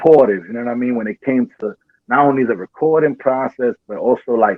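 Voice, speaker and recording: Fairly quick in pace, the speech has ordinary variation in pitch. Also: man, medium pitch for a man. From New York City, the Bronx. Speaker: rapper. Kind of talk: interview.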